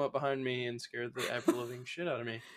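A man talks in a Southern US accent. His pace is moderate. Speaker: podcast co-host. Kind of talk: casual chat.

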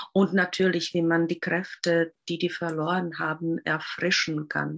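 Speaking at a fairly slow pace, a woman keeps a fairly low pitch and fairly even intonation. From Czech Republic. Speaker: Waldorf teacher. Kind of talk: interview. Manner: halting.

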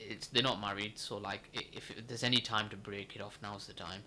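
A man talks at a fairly quick pace with a bright, sharp tone. His pitch is fairly low and his intonation fairly even. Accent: Lancashire. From northern England, Accrington (Lancashire). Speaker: podcast co-host. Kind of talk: casual chat.

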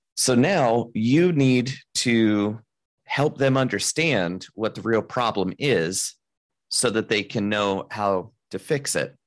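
Over a silent background in a very clean recording, a man speaks very slowly at a medium pitch with lively intonation. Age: 30s. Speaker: mind reader and business consultant. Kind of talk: casual interview.

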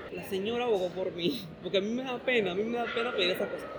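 A man talks at a very fast pace with a high pitch and ordinary pitch variation. Crowd noise fills the background, and there is audible room echo. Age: 20s. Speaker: university student and cinema worker. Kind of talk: interview.

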